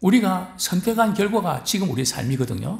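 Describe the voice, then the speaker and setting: Audible room echo surrounds a man who speaks at a fairly slow pace with vocal fry and very wide pitch swings. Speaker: pastor. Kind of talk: sermon. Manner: frequent fillers and rhetorical questions.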